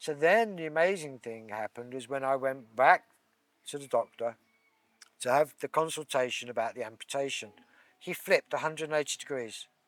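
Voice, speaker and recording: Speaking fairly quickly with an English accent, a man uses ordinary pitch variation. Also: fairly high pitch for a man, dry, close sound with no echo. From England. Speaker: Reiki practitioner. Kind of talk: interview conversation.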